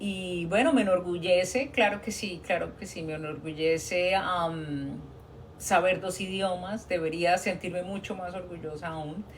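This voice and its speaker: In a Colombian accent, a woman talks at a fairly slow pace with a fairly low pitch and fairly even intonation, her loudness swinging widely amid audible room echo. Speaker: nurse. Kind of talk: live stream Q&A talk. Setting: TikTok live stream. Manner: conversational, hesitant fillers.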